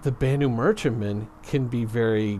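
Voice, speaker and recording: A man with a normal speaking voice talks at medium pitch and a fairly slow pace, with ordinary pitch variation. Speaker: gaming commentator. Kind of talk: casual gaming commentary talk.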